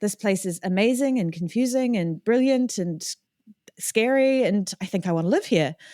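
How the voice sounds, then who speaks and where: A woman speaks in a New Zealand accent with lively intonation at medium pitch. Her tone is dark and mellow, and the sound is dry and close with no echo. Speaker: electronic music producer and singer. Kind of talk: podcast interview.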